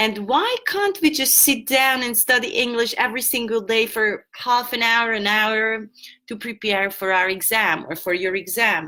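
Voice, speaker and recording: A woman with a Hungarian accent, fairly high pitch, a bright, sharp tone, ordinary pitch variation and a moderate pace. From Hungary. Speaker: English teacher. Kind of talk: online lesson. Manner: halting.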